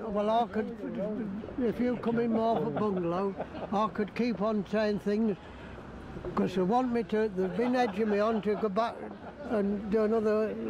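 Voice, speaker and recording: Flat, monotone delivery at a fairly slow pace, with noticeable background noise. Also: man, high pitch for a man. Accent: East Midlands. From Leicester, England. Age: 80s+. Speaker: war veteran. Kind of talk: interview answer.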